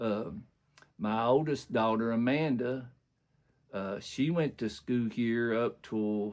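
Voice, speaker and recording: At a very slow pace and with long, frequent pauses, a man with an Appalachian accent speaks at a medium pitch. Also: ordinary pitch variation. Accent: rural southern Appalachian US. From southeastern Kentucky, US. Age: 60s. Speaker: community elder interviewee. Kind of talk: oral history interview. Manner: halting with many fillers.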